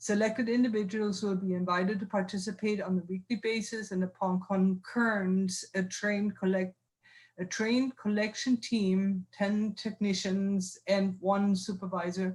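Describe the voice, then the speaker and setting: At a moderate pace, a woman speaks in a somewhat breathy, medium-pitched voice with monotone, flat intonation. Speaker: university research administrator. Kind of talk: reading aloud. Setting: video call. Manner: halting.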